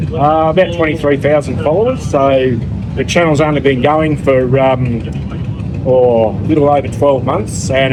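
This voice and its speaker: A man's medium-pitched voice in a strong Australian accent, with ordinary pitch variation, audible room echo and noticeable background noise. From outback Australia. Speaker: motorcycle travel vlogger. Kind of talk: radio interview. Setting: live radio broadcast at a rally campground.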